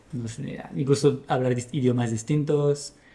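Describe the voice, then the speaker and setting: The voice is dark and mellow, somewhat breathy, fairly even in intonation and fairly slow in pace. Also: man. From France. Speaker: podcast guest, product manager and musician. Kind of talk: casual interview chat. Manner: halting, many restarts.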